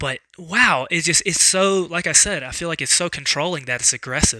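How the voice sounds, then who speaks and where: The man's voice has a bright, sharp tone and ordinary pitch variation, moving at a fairly quick pace in a dry, close sound with no echo. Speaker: card game vlogger. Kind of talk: casual vlog talk. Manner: halting, many fillers and repeats.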